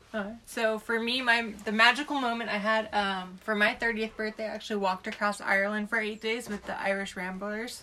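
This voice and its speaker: A woman speaks with an American accent at a fairly high pitch. Her intonation is monotone and flat, with noticeable background noise. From Southern California. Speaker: long-term traveler. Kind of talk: casual round table chat.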